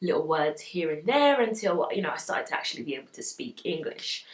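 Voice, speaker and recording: A woman's fairly quick speech is joined by noticeable background noise. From England (raised in UK from age one and a half, Ugandan family). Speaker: fashion and beauty vlogger. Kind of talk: casual chat. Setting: home studio with studio lights. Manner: relaxed, hesitant with many fillers.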